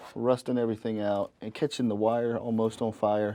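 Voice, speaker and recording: A man with a Southern US accent and a dark, mellow tone. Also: quiet background. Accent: Southern US (Georgia). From North Georgia, US South. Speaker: HVAC technician and show host. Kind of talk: casual presentation to camera.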